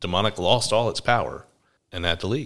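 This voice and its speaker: Moderate pace from a man with an American accent, captured on a very clean recording against a silent background. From US South, Georgia. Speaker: pastor. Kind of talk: casual chat, podcast conversation with wife.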